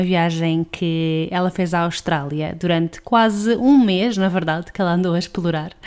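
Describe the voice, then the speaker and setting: A woman with a European Portuguese accent, fairly low-pitched with ordinary pitch variation, at a moderate pace amid noticeable background noise. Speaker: podcast host. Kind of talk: podcast intro and outro. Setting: remote call from home.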